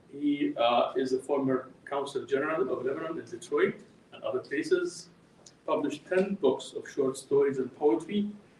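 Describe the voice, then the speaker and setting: A man speaks at a moderate pace with big swings in loudness. Noticeable background noise is heard behind him. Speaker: event moderator. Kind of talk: event introduction. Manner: halting.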